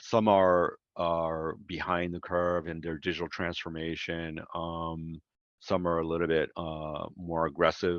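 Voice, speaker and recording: In a monotone, flat delivery, a man talks at a fairly slow pace with a very deep, low pitch. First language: not English. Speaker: ecommerce executive. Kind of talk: podcast interview. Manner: hesitant, many fillers.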